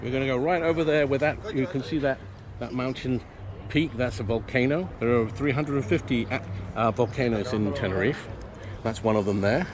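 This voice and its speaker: A man with an English accent at a fairly quick pace, medium in pitch with ordinary pitch variation, over noticeable background noise. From Venezuela, Canary Islands and UK. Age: 60s. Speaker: local guide and off-grid homesteader. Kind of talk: guided tour talk.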